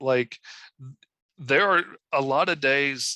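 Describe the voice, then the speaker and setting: Bright and sharp, the tone cuts through. There is no echo, leaving the sound dry and close. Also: man. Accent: Southern US. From Arkansas. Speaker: comic book artist. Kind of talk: interview. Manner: vocal tics, yelps.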